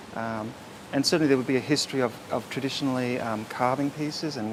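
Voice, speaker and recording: With an Australian accent, a man talks at a fairly quick pace in a medium pitch, his intonation fairly even. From Far North Queensland, Australia. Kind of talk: interview answer.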